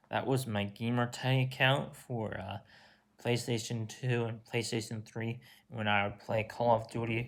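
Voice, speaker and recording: Speaking at a fairly slow pace, a man keeps to a medium pitch with fairly even intonation. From Virginia, US. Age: 20s. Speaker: YouTuber, college student. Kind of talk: casual Q&A vlog. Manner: halting, many fillers.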